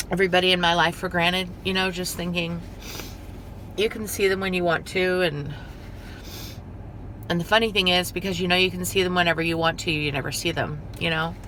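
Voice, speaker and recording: Over noticeable background noise, a woman talks at a fairly quick pace in a monotone, flat intonation, broken by long, frequent pauses. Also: fairly low pitch for a woman. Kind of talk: casual talk to camera.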